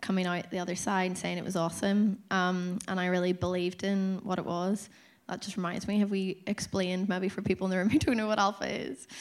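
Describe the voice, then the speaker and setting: A woman with a Northern Irish accent speaks at a moderate pace and medium pitch, with hardly any pauses and monotone, flat intonation. The recording is very clean, with a silent background. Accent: Northern Irish (Tyrone). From Dungannon, Northern Ireland. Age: 30s. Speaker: church course leader. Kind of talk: testimony.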